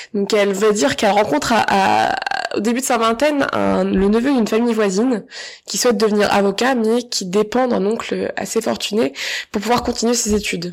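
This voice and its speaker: Her pitch fairly high and its variation ordinary, a woman speaks at a fairly quick pace. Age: 20s. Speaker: podcaster. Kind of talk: solo monologue. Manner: halting. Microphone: sound and microphone problems.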